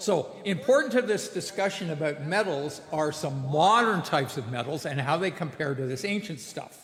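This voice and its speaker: A man with a Canadian accent at a fairly high pitch, lively intonation, a moderate pace and hardly any pauses, with noticeable background noise. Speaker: blacksmith giving a lecture. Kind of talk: lecture.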